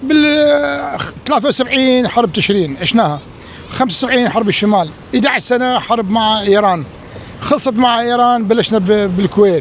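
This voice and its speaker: Against noticeable background noise, a man speaks at a moderate pace in a high voice with lively intonation and very even loudness. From Iraq. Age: 60s. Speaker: Iraqi emigrant interviewee. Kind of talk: street interview.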